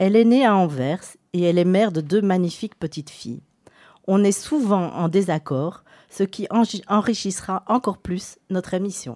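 Here a woman speaks at medium pitch and a moderate pace, her intonation lively and her tone dark and mellow. The recording is very clean, with a silent background. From Antwerp, Belgium. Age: 40s. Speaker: radio host. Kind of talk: scripted introduction; radio interview.

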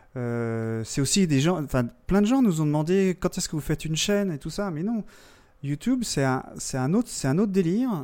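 At a moderate pace, a man with a fairly high pitch and a dark, mellow tone makes very wide pitch swings, heard in a very clean recording with a silent background. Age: 40s. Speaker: podcaster. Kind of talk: casual chat.

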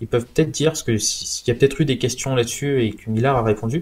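Somewhat breathy male voice with fairly even intonation. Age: 20s. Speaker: comics enthusiast. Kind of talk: casual chat.

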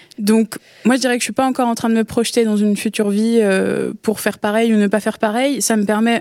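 Dry and close with no echo, a woman's fairly high voice has a dark, mellow tone and moves at a fairly quick pace. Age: 20s. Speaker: amateur radio contributor. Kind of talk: casual chat. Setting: studio.

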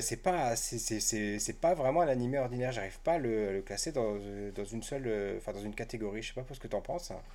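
A man at a medium pitch and moderate pace, with ordinary pitch variation. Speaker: podcast host. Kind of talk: casual chat.

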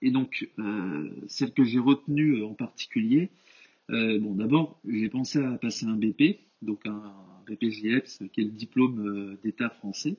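With long, frequent pauses, a man talks at a very slow pace. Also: medium pitch for a man, ordinary pitch variation. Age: 20s. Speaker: engineering student and personal trainer. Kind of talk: podcast interview. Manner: hesitant, many fillers.

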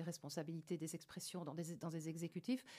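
The speaker is a woman with an ordinary speaking voice. Her pace is moderate. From Belgium, Liège province. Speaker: member of European Parliament, former TV journalist. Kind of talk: radio interview. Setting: radio studio.

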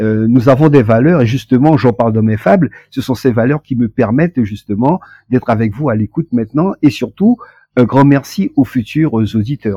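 This man speaks at a medium pitch. His pace is moderate, with ordinary pitch variation. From French Guiana. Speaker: author and poet. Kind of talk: interview. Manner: hesitant, with frequent fillers.

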